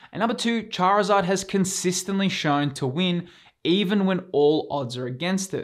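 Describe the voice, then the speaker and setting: A man with an Australian accent speaks at a moderate pace with ordinary pitch variation. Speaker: YouTube collectibles investing host. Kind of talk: scripted YouTube presentation.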